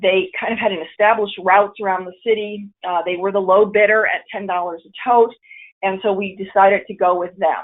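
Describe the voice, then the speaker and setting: In a monotone, flat intonation, the woman speaks at a medium pitch. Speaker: city program coordinator presenting. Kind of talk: webinar presentation. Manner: fast.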